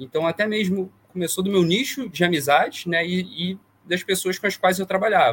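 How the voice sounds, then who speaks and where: A high-pitched man at a moderate pace, his pitch varying in an ordinary way. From Brazil, interior of Rio de Janeiro state (Vassouras). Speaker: consumer-rights lawyer. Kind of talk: interview conversation.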